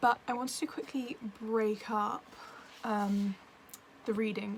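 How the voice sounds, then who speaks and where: Someone speaks with an English accent and fairly even intonation. Noticeable background noise is present. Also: woman. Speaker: book vlogger. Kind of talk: casual vlog.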